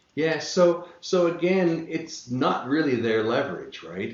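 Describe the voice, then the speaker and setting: A man speaks in a room with audible echo. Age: 60s. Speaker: real estate passive investor. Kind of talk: podcast interview. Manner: halting, many fillers.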